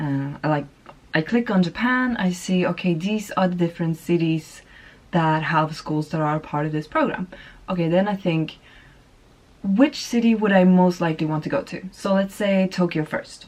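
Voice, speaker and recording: A woman speaks with a Swedish accent at a medium pitch. Her pace is moderate and her pitch varies in an ordinary way. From Sweden. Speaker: vlogger. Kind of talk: casual chat.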